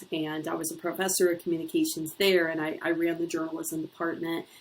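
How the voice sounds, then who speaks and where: With an Ohio accent, a woman talks at a fairly quick pace in a fairly low pitch, her intonation monotone and flat. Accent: Ohio accent, still noticeable in vowels. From US Midwest, Northeast Ohio. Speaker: university lecturer. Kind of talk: course introduction video. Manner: conversational with filler words.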